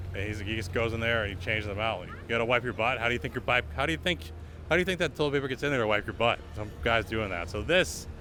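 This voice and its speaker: With an American accent, a man talks very fast at a fairly low pitch, and the room echo is audible. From Lowell, Massachusetts. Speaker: street interviewer and tour guide. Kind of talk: casual walking tour vlog. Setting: outdoor street festival and church. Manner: casual, filler-heavy.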